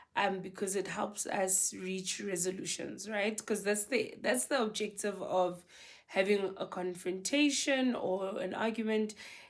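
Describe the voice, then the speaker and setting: In a very clean recording with a silent background, a woman talks fairly slowly at a medium pitch with fairly even intonation. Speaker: marriage advice vlogger. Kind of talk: casual advice talk to camera. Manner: naturally loud.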